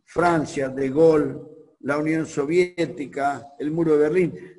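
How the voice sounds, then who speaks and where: A man speaks at a fairly slow pace. His voice carries audible room echo. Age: 60s. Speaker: pastor. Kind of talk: sermon.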